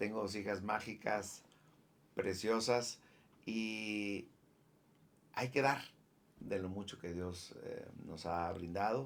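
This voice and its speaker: There is audible room echo as a man with a fairly low voice talks very slowly, with ordinary pitch variation. Long, frequent pauses break up his speech. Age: 60s. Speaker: former professional footballer. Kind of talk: interview. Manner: halting.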